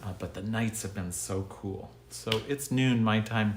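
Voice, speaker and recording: At a moderate pace, a man with medium pitch talks in an unremarkable speaking voice. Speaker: pastor. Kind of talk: livestreamed devotional message. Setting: live online broadcast from his desk. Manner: casual, conversational.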